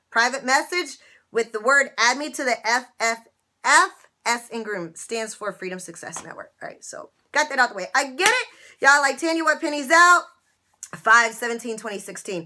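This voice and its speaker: Raised and projected, a woman's high-pitched voice moves at a moderate pace with lively intonation, an animated tone and big swings in loudness. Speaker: YouTuber sharing couponing and money-saving tips. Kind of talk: casual vlog monologue to viewers. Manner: animated, chatty. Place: office. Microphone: webcam.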